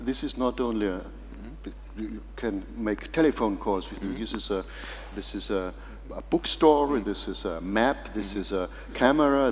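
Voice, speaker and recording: A man speaks in a German accent at a moderate pace. Light background noise is present. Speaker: foundation chairman and moderator. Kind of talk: moderated discussion. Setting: stage with audience. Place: hall.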